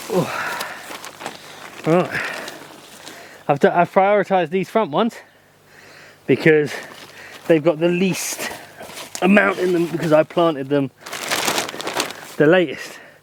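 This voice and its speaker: The speaker talks with an English Midlands accent at a fairly slow pace, with ordinary pitch variation. Long, frequent pauses and noticeable background noise run through the clip. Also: man, high pitch for a man. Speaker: allotment gardening vlogger. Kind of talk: casual vlog talk to camera. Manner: casual, hesitant with fillers.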